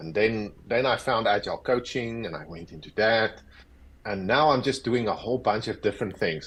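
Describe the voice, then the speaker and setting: This is a man speaking with a South African accent. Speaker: agile coach. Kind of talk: interview.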